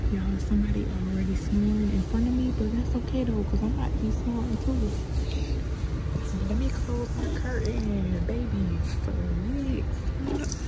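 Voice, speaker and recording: Over loud background noise, a woman speaks at a moderate pace with long, frequent pauses. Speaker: travel vlogger. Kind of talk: casual vlog chat. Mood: excited, playful. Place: train. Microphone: phone near.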